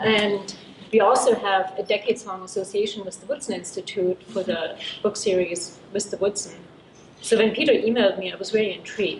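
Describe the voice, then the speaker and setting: A woman with a German accent at medium pitch and fairly quick pace, with fairly even intonation and noticeable background noise. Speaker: book editor at a university press. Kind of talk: panel talk. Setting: symposium panel with audience.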